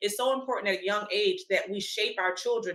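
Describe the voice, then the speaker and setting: With an American accent, a woman speaks in a plain, everyday voice at a medium pitch and a fairly quick pace. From US, Washington DC. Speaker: panelist. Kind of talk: panel discussion.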